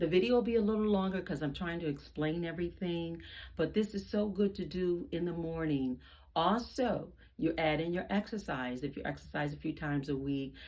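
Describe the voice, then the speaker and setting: This is a plain, everyday voice at a fairly quick pace. Its pitch variation is ordinary. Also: woman, fairly low pitch for a woman. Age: 60s. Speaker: fitness video host, retiree. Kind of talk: exercise tutorial. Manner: casual, conversational.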